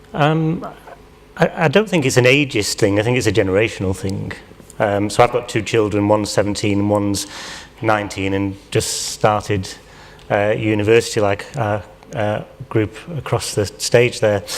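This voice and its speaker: Over noticeable background noise, a man with a fairly low pitch talks at a moderate pace with ordinary pitch variation and long, frequent pauses. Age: 40s. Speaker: panel participant. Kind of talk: panel discussion. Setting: stage with audience. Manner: hesitant.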